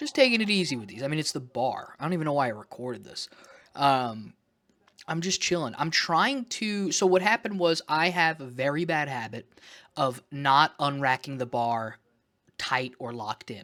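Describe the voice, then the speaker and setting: Loud and fairly high-pitched, a man speaks with lively intonation. His tone is bright and sharp. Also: moderate pace, very clean recording, silent background. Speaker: vlogger documenting weight loss. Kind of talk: casual vlog monologue. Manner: rambling, halting with fillers.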